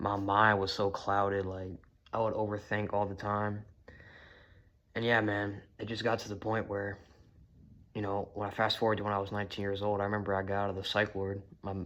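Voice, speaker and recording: A man's fairly low, monotone, flat voice at a fairly quick pace, broken by long, frequent pauses. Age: 20s. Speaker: vlogger sharing personal story. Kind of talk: casual monologue. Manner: casual, filler-heavy.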